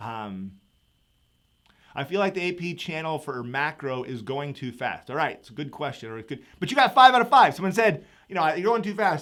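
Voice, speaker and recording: Bright and sharp in tone, a man with a fairly high pitch talks at a fairly quick pace in an animated way, with very wide pitch swings and big swings in loudness, in a very clean recording with a silent background. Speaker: economics teacher. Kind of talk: live review session. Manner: fast.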